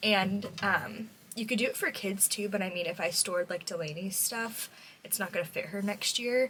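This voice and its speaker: A woman speaks in a normal speaking voice at medium pitch, with ordinary pitch variation and a moderate pace. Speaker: vlogger, mom and preschool worker. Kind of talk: casual vlog talk to camera. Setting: at home, bedroom.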